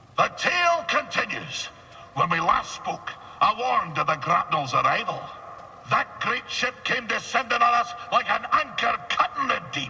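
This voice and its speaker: A put-on character voice moves at a moderate pace. Background noise is clearly audible. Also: man. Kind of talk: salty sea-yarn storytelling. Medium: machinima. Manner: rambling, theatrical, digressive.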